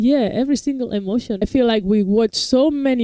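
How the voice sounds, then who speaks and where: Speaking at a moderate pace with a non-native accent, a woman has a dark, mellow tone in a dry, close sound with no echo. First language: not English. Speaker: reaction video host. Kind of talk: casual review chat.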